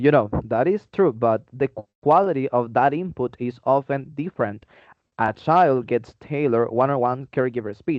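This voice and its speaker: Spoken in a Spanish accent at a moderate pace, the voice shows ordinary pitch variation. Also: man, medium pitch for a man. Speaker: podcast co-host, English teaching student. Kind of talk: friendly scripted debate.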